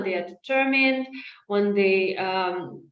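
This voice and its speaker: There is audible room echo as a woman speaks at a medium pitch and a fairly slow pace, with ordinary pitch variation. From Ukraine. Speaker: disinformation analyst. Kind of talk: webinar presentation Q&A. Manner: hesitant, many fillers.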